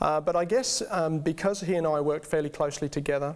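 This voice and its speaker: A man speaks at a fairly quick pace and fairly high pitch. Noticeable background noise is present. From England, Birmingham. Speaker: guest sharing faith story. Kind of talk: testimony. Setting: studio. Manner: halting, many fillers.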